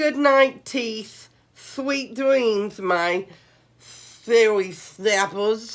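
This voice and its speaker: A woman uses a put-on character voice, fairly high with ordinary pitch variation. She speaks at a very slow pace. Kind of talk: bedtime story. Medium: read story. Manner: theatrical, hammy.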